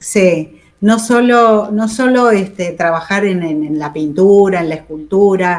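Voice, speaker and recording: At a very slow pace yet with hardly any pauses, a woman of medium pitch speaks with ordinary pitch variation. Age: 70s. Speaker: war veteran nurse. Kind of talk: interview.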